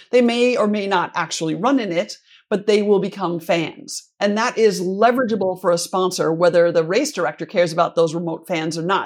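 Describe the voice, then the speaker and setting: In an unremarkable speaking voice, a woman with an American accent talks at a moderate pace and medium pitch with ordinary pitch variation against a quiet background. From US Midwest, Minnesota. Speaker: sponsorship consultant. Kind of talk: interview.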